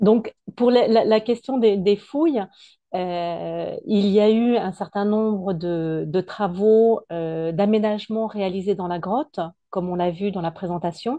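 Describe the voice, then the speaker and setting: Against a quiet background, a woman talks at a fairly slow pace in a dark, mellow tone. Her pitch is medium, with ordinary variation. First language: French (speaking Spanish). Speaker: cave conservator. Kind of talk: Q&A answers. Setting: online video conference. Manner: hesitant, many fillers.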